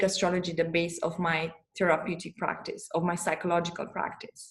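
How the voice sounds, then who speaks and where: A woman with a Romanian accent speaks at a moderate pace in a medium pitch. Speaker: astrologer and therapist. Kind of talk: interview conversation. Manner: halting, many repetitions.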